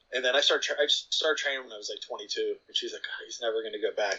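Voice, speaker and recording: A man with an American accent talks at a very fast pace, his loudness swinging widely. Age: 50s. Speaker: film writer and blogger. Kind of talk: casual chat.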